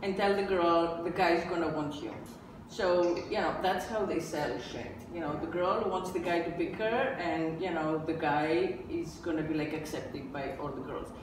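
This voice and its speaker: A woman with a fairly low pitch speaks at a moderate pace with ordinary pitch variation. Noticeable background noise and audible room echo fill the recording. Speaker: podcast host. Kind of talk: podcast discussion. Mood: candid, occasionally laughing. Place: home room.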